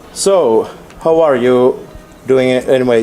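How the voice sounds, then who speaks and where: A man with a Finnish accent and medium pitch speaks at a moderate pace over noticeable background noise. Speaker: radio interviewer. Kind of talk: interview. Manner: halting.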